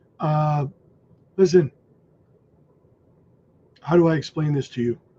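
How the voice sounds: A man speaks at a slow pace with ordinary pitch variation. His tone is dark and mellow.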